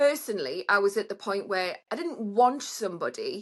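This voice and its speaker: Her pitch fairly high, a woman with a British accent talks at a moderate pace with very wide pitch swings. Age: middle-aged. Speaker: online dater. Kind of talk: casual chat.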